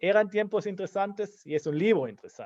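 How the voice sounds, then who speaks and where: Speaking at a moderate pace with ordinary pitch variation, a man is heard in a dry, close sound with no echo. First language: German (speaking Spanish). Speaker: historian, book commentator. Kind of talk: book launch talk.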